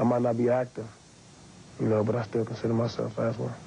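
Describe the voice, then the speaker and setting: A man with a medium-pitched voice speaks very fast in a flat monotone over noticeable background noise. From Los Angeles, Southern California. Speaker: professional football player. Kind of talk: interview. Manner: casual.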